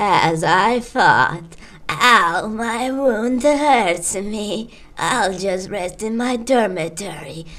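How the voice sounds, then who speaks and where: Putting on a character voice, a woman speaks at a very slow pace with lively intonation. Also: medium pitch for a woman. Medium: machinima. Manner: solemn, commanding.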